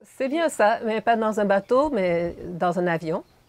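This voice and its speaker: Slowly, very slowly, a woman speaks. She has a Hungarian accent. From Montreal, Quebec. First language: Hungarian (speaking French). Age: 60s. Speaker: animal shelter owner. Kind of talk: interview. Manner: hesitant, with repetitions.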